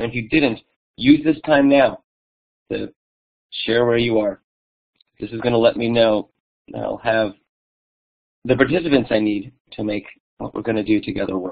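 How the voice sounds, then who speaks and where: A man at medium pitch with ordinary pitch variation and long, frequent pauses. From New York. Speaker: museum digital learning director. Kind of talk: conference presentation. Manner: fast.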